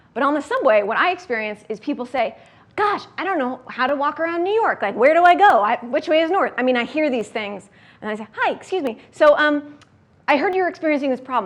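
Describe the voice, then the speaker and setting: A woman speaks fairly quickly in a high voice, her pitch swinging very widely up and down. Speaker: startup founder and workshop speaker. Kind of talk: workshop talk. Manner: fast; animated.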